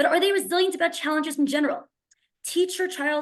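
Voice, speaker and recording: A woman speaking at a very fast pace. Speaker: school principal. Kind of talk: webinar presentation.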